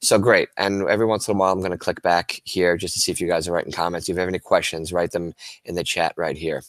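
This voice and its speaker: A man speaks very fast with a very deep, low pitch and fairly even intonation. The sound is dry and close with no echo, in a very clean recording with a silent background. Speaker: teacher. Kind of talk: tutorial.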